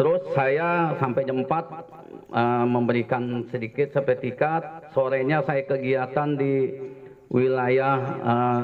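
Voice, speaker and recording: A man with ordinary pitch variation amid noticeable background noise. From Jakarta, Betawi (Cengkareng). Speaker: army officer. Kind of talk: speech at community event. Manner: halting.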